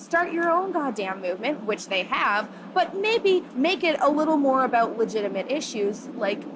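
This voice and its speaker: Loud and high-pitched, a woman talks at a moderate pace over noticeable background noise. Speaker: feminist activist. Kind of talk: interview. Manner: animated.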